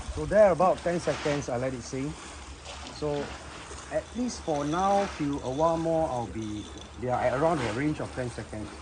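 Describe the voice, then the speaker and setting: Against noticeable background noise, a man with a fairly high pitch and lively intonation speaks at a moderate pace with long, frequent pauses. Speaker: angler, fishing tutorial host. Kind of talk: fishing tutorial talk to camera. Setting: outdoors, windy.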